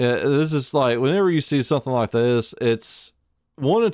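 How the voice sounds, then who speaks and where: Over a very clean recording with a silent background, a man talks fairly slowly with lively intonation. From Alabama, US South. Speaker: game streamer. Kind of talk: casual live stream chat. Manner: halting, many fillers and restarts.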